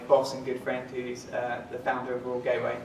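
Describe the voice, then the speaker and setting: Over noticeable background noise and audible room echo, a man with a British accent speaks at a medium pitch in a monotone, flat intonation. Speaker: sales executive. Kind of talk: talk to a live audience. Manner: many filler words.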